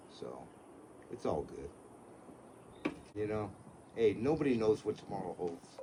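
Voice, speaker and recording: A man speaks at a moderate pace and a medium pitch. Noticeable background noise runs behind him. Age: 70s. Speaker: car seller, retired contractor. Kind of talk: casual chat. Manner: casual, swears.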